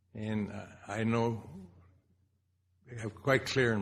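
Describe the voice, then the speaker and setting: Audible room echo surrounds this recording. A man speaks at a fairly low pitch and a fairly slow pace. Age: 80s+. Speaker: speaker at memorial symposium. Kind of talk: personal reminiscence speech. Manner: halting.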